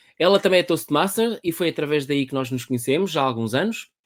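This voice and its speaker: With a European Portuguese accent, a man talks very fast at a fairly high pitch with ordinary pitch variation, in a dry, close sound with no echo. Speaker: podcast host, public speaking trainer. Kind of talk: casual interview via live stream. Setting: live online video stream.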